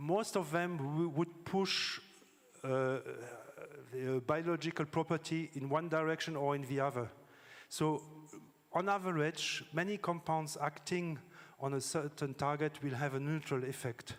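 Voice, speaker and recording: A man with a French accent speaks at a fairly slow pace, his pitch fairly high. His intonation is fairly even, with long, frequent pauses. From France. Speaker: scientist. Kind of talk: conference talk. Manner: halting, with fillers.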